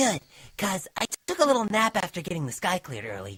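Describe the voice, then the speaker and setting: The speaker puts on a character voice at a middle pitch. The pace is fairly quick. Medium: read story.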